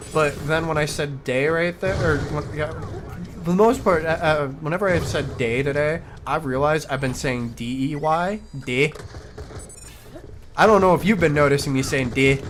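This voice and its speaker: Noticeable background noise sits behind a man with a slight Midwestern accent. His pitch is fairly high, with ordinary variation, at a moderate pace. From US Midwest. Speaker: video game streamer. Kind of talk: casual gaming chat.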